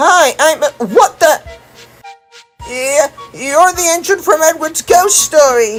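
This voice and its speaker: A high-pitched, put-on character voice talks at a fairly slow pace with long, frequent pauses. Faint music plays in the background. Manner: frightened.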